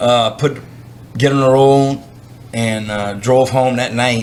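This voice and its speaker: A man speaks with a Louisiana accent. Room echo is audible. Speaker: professional bass angler. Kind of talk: casual interview. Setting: writer's conference.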